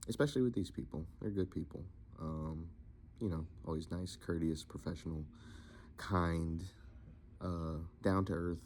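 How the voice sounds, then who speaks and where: A man's very deep, low voice with a dark, mellow tone, fairly even intonation and a moderate pace. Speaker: voice actor. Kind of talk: casual talk to camera.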